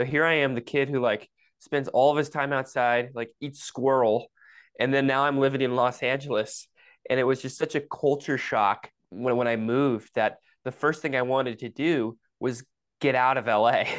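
With an American accent, a man talks in a normal speaking voice at medium pitch, keeping a moderate pace and fairly even intonation against a quiet background. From Michigan. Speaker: pro-life activist and climber. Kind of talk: casual interview.

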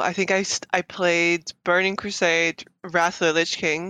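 A woman with a Dutch accent speaks at a fairly slow pace in a fairly low pitch, her bright, sharp tone caught in a dry, close recording with no echo over a quiet background. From Netherlands. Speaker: cosplayer. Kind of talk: casual chat. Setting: video call.

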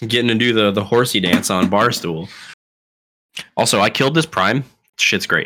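A man's medium-pitched voice with a bright, sharp tone, ordinary pitch variation, very even loudness, a moderate pace and long, frequent pauses. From Florida. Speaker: podcast co-host. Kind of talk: casual chat. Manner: comes across as arrogant.

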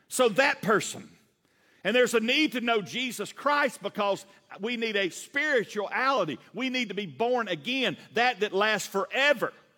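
This man speaks in a raised, projected voice with a Southern US accent, his high pitch, bright, sharp tone and lively, animated intonation carrying through. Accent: Southern US with a drawl. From US South. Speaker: pastor. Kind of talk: sermon. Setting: church. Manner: fast talker; animated, folksy, laughs often.

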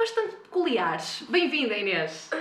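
Noticeable background noise and audible room echo surround the woman as she speaks. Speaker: podcast host. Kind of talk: interview.

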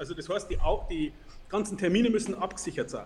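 A man rattles along at a very fast pace and a high pitch, with very wide pitch swings. Noticeable background noise is present. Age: 40s. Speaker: entrepreneur and sales expert. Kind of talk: interview.

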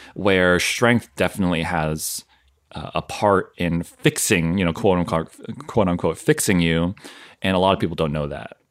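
On a very clean recording with a silent background, a man with an American accent speaks at a moderate pace in a very deep, low pitch. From US Northeast, southern Maine. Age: 30s. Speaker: massage therapist and fitness content creator. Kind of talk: casual interview chat.

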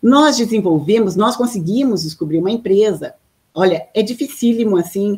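A woman speaks at a moderate pace in a somewhat breathy voice with ordinary pitch variation. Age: 50s. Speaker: artist and mechanical engineer, inventor of a color method. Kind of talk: interview.

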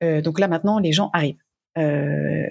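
Very deep and low, a woman's voice moves at a fairly slow pace with ordinary pitch variation. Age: 40s. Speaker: author and collective intelligence facilitator. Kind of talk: interview.

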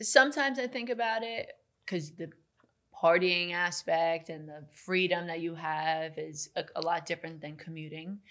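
A woman with a normal speaking voice and an American accent, fairly low in pitch, at a moderate pace, with lively intonation and big swings in loudness. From Long Island, New York. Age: 20s. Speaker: real estate agent. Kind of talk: casual interview.

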